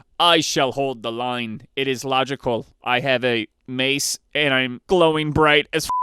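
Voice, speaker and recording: A man puts on a robotic character voice at a medium pitch. He talks at a fairly slow pace. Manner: monotone, logical.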